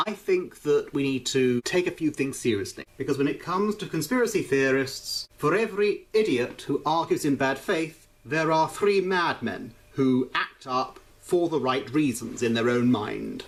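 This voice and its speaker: With hardly any pauses, a man in a British accent speaks at a moderate pace, fairly high in pitch and with lively intonation. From Britain. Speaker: YouTuber reacting to videos. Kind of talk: vlog commentary.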